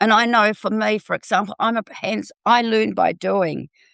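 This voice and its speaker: A fairly slow delivery in a New Zealand accent. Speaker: health and food technology educator. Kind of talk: panel discussion.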